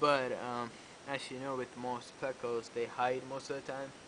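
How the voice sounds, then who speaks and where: A man with a non-native accent speaks at a very slow pace and medium pitch, his intonation monotone and flat. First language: not English. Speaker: aquarium hobbyist youtuber. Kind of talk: casual video tour. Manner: hesitant, filler-heavy.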